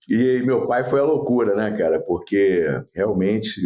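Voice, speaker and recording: Against noticeable background noise, a man talks at a moderate pace, his pitch swinging very widely. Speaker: radio executive and former radio host. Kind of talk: podcast interview.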